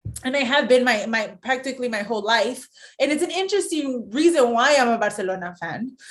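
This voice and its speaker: A woman talks at a fairly quick pace, her high pitch full of lively intonation. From US, San Diego near Mexican border. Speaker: sports broadcaster. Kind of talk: casual chat.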